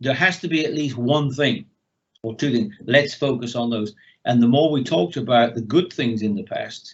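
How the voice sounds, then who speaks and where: Somewhat breathy, fairly high-pitched male speech with lively intonation. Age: 70s. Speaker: mentor. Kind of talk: interview.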